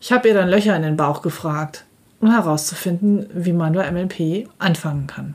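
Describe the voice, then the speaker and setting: A woman talks with a fairly low pitch at a moderate pace, with ordinary pitch variation. It is a normal speaking voice. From Germany, Dortmund (Ruhr area). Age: 50s. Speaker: financial advisor and podcast host. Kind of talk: solo podcast monologue, scripted. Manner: formal.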